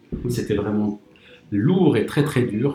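There is music in the background as a man talks. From Morocco. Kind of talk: testimony.

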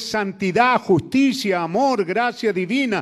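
This man's delivery is fairly slow. His pitch moves in a lively way. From Chile. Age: 70s. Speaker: preacher. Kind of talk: sermon. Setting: church.

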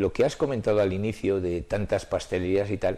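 A man talks in an ordinary speaking voice, fairly low in pitch. He keeps a moderate pace and fairly even intonation. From Spain, Soria. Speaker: collector and retired teacher. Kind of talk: interview.

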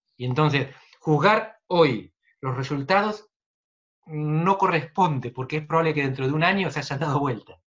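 Using a plain, everyday voice, a man speaks at a fairly high pitch and a moderate pace with ordinary pitch variation. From Argentina, Buenos Aires province. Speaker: political scientist. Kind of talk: interview.

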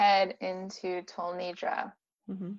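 A woman with a Californian accent. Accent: Californian American. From US, San Diego. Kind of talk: casual chat. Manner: mellow.

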